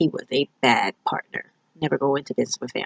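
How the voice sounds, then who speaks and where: The sound is dry and close, without any echo. The voice carries an American accent. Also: woman. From New York. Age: 30s. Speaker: student. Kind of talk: self-introduction video. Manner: casual, with filler words.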